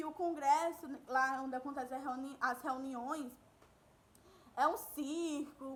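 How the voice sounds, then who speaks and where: A raised, projected voice with a warm yet bright, sharp tone moves at a fairly slow pace. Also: woman. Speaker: school teacher. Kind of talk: recorded online lesson. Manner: warm, conversational.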